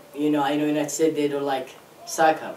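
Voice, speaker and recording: A man with an Arabic accent speaks at a fairly high pitch. Room echo and noticeable background noise are audible. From Saudi Arabia. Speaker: international student. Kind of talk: interview.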